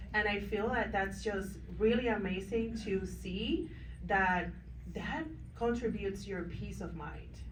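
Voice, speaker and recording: A woman with a non-native accent at a fairly slow pace, with audible room echo. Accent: foreign. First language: not English. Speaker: business owner, panelist. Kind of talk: panel discussion.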